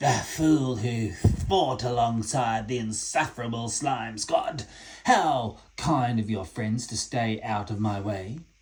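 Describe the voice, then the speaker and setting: In a put-on character voice, a man speaks at a fairly slow pace, medium in pitch, raspy and guttural. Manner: sarcastic, menacing.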